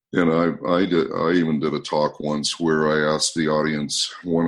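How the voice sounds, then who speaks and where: His voice is very deep, with a low pitch for a man. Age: 60s. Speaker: motivational speaker, anti-bullying trainer. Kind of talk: interview conversation.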